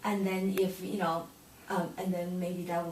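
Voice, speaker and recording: A woman with a medium pitch speaks at a moderate pace, with audible room echo and noticeable background noise. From Taiwan. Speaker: acupuncturist. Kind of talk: interview. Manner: halting, with many fillers.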